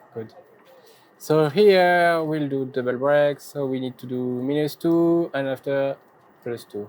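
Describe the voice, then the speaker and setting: Speaking in a French accent, a man with a fairly high voice goes at a fairly slow pace with long, frequent pauses. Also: ordinary pitch variation. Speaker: faceting machine maker. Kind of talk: live demonstration.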